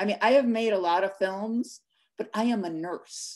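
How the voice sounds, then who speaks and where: A woman at a fairly slow pace, with ordinary pitch variation and a quiet background. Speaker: film director. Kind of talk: moderating a live Q&A. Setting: video call. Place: home room. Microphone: webcam.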